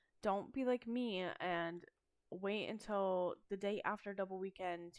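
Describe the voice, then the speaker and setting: A woman talks with fairly even intonation at a fairly slow pace. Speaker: gaming YouTuber. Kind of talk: casual gameplay commentary. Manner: monotone; relaxed, hesitant with fillers.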